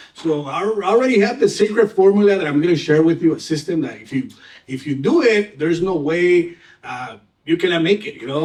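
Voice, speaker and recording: With a Mexican accent and a high pitch, a man talks at a fairly quick pace with lively intonation and big swings in loudness amid noticeable background noise. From Mexico (Tijuana), moved to US at twelve. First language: Spanish. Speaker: real estate agent. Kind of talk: panel talk at seminar.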